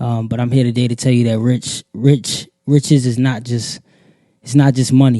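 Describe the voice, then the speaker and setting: The voice has a dark, mellow tone and an American accent, delivered in a monotone, flat intonation at a moderate pace. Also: man, medium pitch for a man. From US, Baltimore. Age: 30s. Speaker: podcast host. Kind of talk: podcast monologue, motivational. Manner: many filler words (uh, um).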